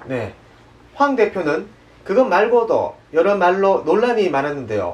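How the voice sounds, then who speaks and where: In a Daegu accent, a man speaks at a fairly slow pace and high pitch, his voice making very wide pitch swings. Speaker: news show host. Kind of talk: satirical news show presenting.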